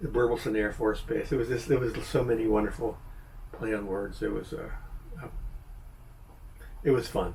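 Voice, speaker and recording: In an American accent, a man talks with ordinary pitch variation amid audible room echo. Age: 70s. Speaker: YouTuber, movie reviewer. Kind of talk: casual video review monologue. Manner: hesitant, many fillers and restarts.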